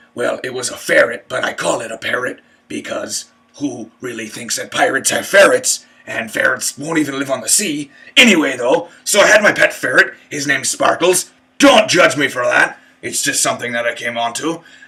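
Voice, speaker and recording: Moderate pace and high pitch in a man's put-on character voice. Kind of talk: comic pirate voice. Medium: solo performance. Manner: rambling, crude.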